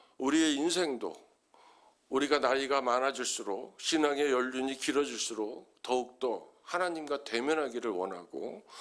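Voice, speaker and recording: With an unremarkable speaking voice, this man talks at a fairly slow pace, his fairly high pitch showing ordinary pitch variation. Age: 60s. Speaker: pastor. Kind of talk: sermon.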